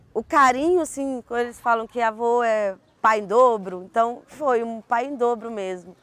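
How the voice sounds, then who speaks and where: A woman's fairly high, ordinary speaking voice, with ordinary pitch variation and a moderate pace. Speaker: university social services worker. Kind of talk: interview answer.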